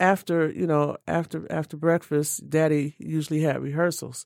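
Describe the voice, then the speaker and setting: Over a very clean recording with a silent background and a dry, close sound with no echo, a woman speaks at a fairly slow pace in a very deep, low pitch with ordinary pitch variation. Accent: American. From Detroit, Michigan. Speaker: jazz musician. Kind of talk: interview.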